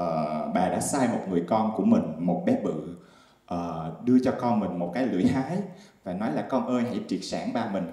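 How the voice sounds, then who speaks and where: Audible room echo surrounds a man's fairly low voice. His intonation is lively and his pace fairly slow. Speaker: stand-up comedian. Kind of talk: stand-up comedy monologue. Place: stage. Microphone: handheld.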